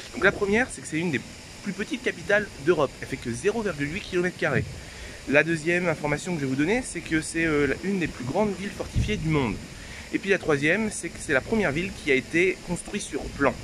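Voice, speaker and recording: Noticeable background noise sits behind this man's high voice. He talks at a very fast pace with lively intonation. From France, Normandy. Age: 20s. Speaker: travel vlogger. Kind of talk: travel vlog narration.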